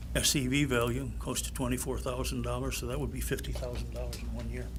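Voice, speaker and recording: A man with a very deep, low pitch speaks very fast in an American accent. His intonation is monotone and flat, and the room echo is audible. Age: 80s+. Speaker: retiree speaking at public comment. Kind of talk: public comment at township meeting.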